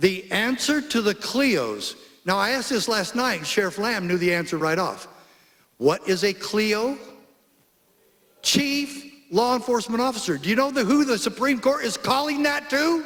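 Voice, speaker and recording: An animated man with an American accent speaks at a moderate pace in an extremely high voice, his intonation lively and the room echo audible. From Arizona. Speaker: former sheriff, public speaker. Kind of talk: conference speech. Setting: stage with audience.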